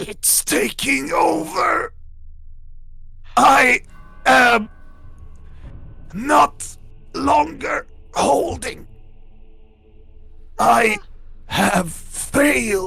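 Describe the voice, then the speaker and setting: This raspy, put-on character voice sits at a fairly high pitch. It moves at a very slow pace with long, frequent pauses. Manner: desperate.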